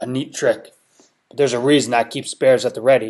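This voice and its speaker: A man puts on a character voice at a very fast pace, growling and raspy at medium pitch. His intonation stays monotone and flat while his loudness swings widely. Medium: read story. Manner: rough, threatening.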